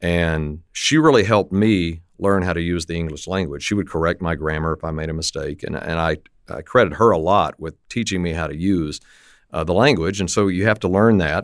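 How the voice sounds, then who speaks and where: At a fairly quick pace, a man talks in a very deep, low voice with ordinary pitch variation, in a very clean recording with a silent background. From West Texas, Lubbock. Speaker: radio play-by-play announcer. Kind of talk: interview. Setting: studio. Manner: loose, relaxed.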